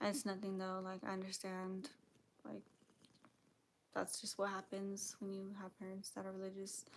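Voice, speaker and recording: At a moderate pace, a woman speaks at a medium pitch. Her intonation is monotone and flat, with long, frequent pauses. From Mexican heritage. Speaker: livestreamer. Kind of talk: casual livestream talk. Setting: live stream. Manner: hesitant, many fillers.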